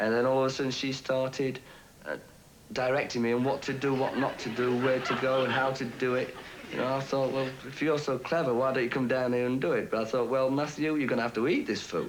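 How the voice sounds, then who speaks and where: Over noticeable background noise and audible room echo, a man speaks very fast at a medium pitch, with monotone, flat intonation and very even loudness. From Yorkshire. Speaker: game show contestant. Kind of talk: recorded interview recounting a date. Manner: hesitant, many fillers.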